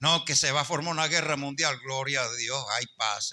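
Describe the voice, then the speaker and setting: In a very clean recording with a silent background, a man speaks at a moderate pace in a bright, sharp tone, his fairly high pitch showing ordinary variation. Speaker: pastor. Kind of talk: sermon.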